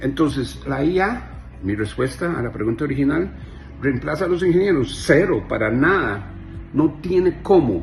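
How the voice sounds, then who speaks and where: In a Costa Rican accent, a man with a fairly high voice talks at a moderate pace with lively intonation, amid audible room echo and noticeable background noise. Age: 50s. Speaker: software engineer. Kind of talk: monologue to camera. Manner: animated.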